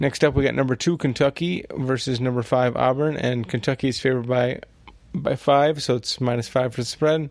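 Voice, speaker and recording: A quiet man of medium pitch, at a moderate pace with fairly even intonation. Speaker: sports betting podcast host. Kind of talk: solo podcast monologue. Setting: at home at night.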